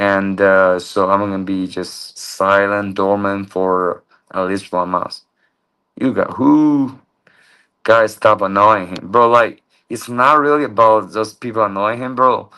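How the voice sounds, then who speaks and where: A man with a Chinese accent speaks at a fairly low pitch in a bright, sharp tone. His pace is fairly slow, and his intonation fairly even. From China. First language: Mandarin Chinese. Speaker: livestreamer. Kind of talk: livestream chat.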